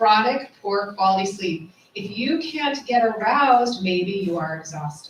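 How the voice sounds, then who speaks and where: A woman at medium pitch with lively intonation and a fairly slow pace, amid noticeable background noise and audible room echo. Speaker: gynecologist. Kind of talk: casual chat.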